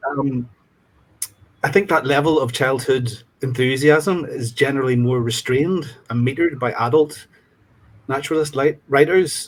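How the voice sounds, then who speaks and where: A man with a Northern Irish accent, medium-pitched and somewhat breathy, at a moderate pace with fairly even intonation. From Northern Ireland, County Fermanagh. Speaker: student reader in literary exchange. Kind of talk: discussion panel answer. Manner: hesitant, many ums.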